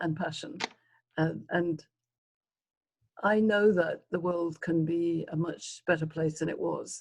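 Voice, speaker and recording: A woman's fairly low, somewhat breathy voice in a monotone, flat intonation, at a fairly slow pace with long, frequent pauses. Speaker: leadership consultant. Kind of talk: podcast interview.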